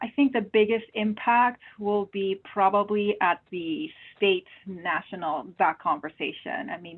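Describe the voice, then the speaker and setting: A woman speaks with a Spanish accent at medium pitch, fairly slowly and with hardly any pauses. Her intonation is lively and her loudness swings widely. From Peru. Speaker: medical oncologist. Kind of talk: webinar Q&A.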